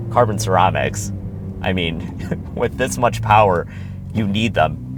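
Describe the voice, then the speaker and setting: Music plays in the background as a man with a very deep, low pitch speaks at a fairly slow pace with lively intonation and audible room echo. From Quebec, Montreal. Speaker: car reviewer. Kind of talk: casual talk while driving. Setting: in a car. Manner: animated.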